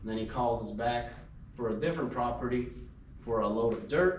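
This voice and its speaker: The pitch varies in an ordinary way. Audible room echo and noticeable background noise fill the recording. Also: man. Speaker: small business owner, junk removal and hauling. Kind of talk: business presentation to a networking group. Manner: fast; unscripted, free speaking.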